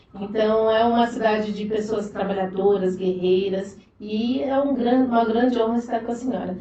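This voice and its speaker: A woman's fairly high voice with hardly any pauses, amid noticeable background noise and audible room echo. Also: fairly even intonation, moderate pace. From Diadema, São Paulo, Brazil. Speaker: political activist. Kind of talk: podcast interview.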